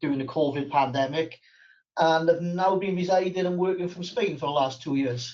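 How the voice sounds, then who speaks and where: A Welsh accent with ordinary pitch variation. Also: man. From South Wales. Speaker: accounting firm owner. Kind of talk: webinar panel talk. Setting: online webinar.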